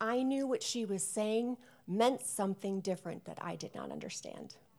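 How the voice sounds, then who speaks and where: Woman with an American accent on a very clean recording with a silent background. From US Midwest, Chicago suburbs. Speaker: guest preacher. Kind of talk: sermon.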